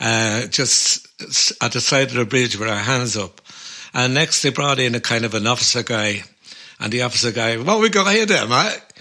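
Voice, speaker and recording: A man's medium-pitched voice with a Dublin accent, over noticeable background noise. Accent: Dublin Irish. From Ireland. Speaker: folk musician and podcast co-host. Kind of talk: casual chat. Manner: animated storytelling.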